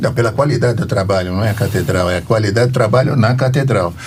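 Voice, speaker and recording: A man at a very fast pace and medium pitch, with ordinary pitch variation, noticeable background noise and audible room echo. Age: 80s+. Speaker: podcast host. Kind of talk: casual interview.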